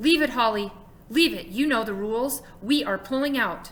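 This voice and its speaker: A woman uses a put-on character voice pitched high, speaking at a moderate pace. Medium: read story.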